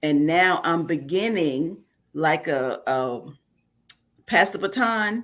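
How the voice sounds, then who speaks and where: Someone with an American accent speaks at a very slow pace with lively intonation. The recording is very clean, with a silent background. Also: woman. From New York (Bronx). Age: 60s. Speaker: author, preacher's wife. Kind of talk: interview.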